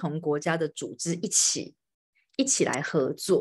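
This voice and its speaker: This woman's pitch swings very widely. She speaks at a moderate pace. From Taiwan. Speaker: podcast host. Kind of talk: live-streamed interview. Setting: home, live stream, hiding in bedroom. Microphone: video call.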